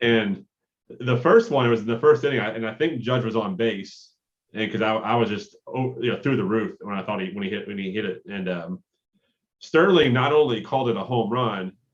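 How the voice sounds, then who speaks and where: Speaking with a Kentucky accent, a man talks at a fairly quick pace, his pitch medium and its variation ordinary. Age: 30s. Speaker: sports podcast co-host. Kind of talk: casual chat.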